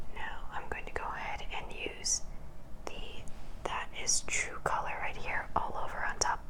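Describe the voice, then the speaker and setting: In a whisper, a woman talks at a fairly slow pace with a gentle tone. Noticeable background noise is present. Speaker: ASMR makeup creator. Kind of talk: ASMR makeup tutorial. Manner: whispered, gentle.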